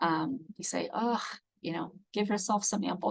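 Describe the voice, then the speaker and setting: The woman's voice carries vocal fry. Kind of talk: webinar presentation.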